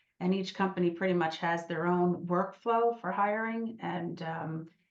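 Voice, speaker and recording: A woman's voice at medium pitch. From New Jersey. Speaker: lawyer and mediator. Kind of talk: lecture. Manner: fast.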